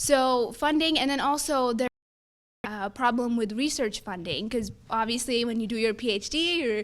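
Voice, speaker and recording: With an American accent, a woman speaks loudly at a moderate pace. Her high pitch shows ordinary variation. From Texas (Fort Worth). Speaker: student government candidate. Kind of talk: debate answers. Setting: live-streamed forum in a room.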